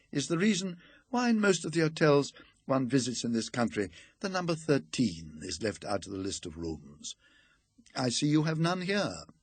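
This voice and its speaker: At a moderate pace, a somewhat breathy man swings his pitch very widely and leaves long, frequent pauses. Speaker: audiobook reader. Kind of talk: ghost story reading.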